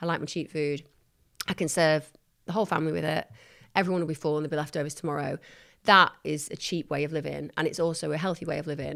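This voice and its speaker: Recorded very cleanly with a silent background, a woman with a very deep, low pitch speaks at a very fast pace in a northern English accent. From northern England. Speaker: psychologist and TV presenter. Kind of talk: casual interview chat. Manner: animated.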